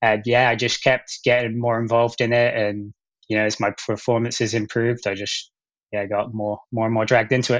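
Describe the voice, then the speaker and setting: With an American accent, a man speaks at a fairly quick pace. His medium-pitched voice stays flat and monotone. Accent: English with an American twang. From England, Gloucester. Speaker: elite runner. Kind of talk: podcast interview. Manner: hesitant, many fillers.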